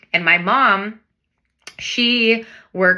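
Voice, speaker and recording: Bright and sharp in tone, a woman talks with an American accent. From US Pacific Northwest, Everett, Washington. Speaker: real estate broker. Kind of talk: personal story to camera. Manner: casual, with frequent fillers.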